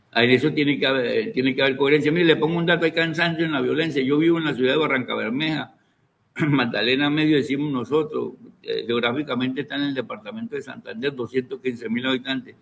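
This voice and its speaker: A man's fairly high voice rushes along very fast, its pitch varying in an ordinary way. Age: 70s. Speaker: university professor, political analyst.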